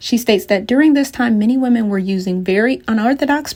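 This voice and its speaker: A woman's somewhat breathy, fairly high voice at a very fast pace, with ordinary pitch variation. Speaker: TV news reporter and anchor. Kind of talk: broadcast news reporting and anchoring. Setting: on-location stand-up and studio anchor delivery.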